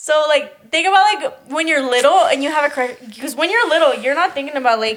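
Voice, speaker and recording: In a Spanish accent, a woman speaks fairly quickly at high pitch, her tone animated and her intonation lively. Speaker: podcast co-host. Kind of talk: casual chat.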